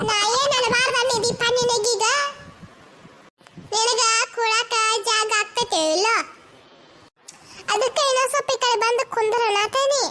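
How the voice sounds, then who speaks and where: A woman's squeaky, cartoonish character voice at an extremely high pitch, with fairly even intonation, very even loudness and a moderate pace. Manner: chatty, coaxing.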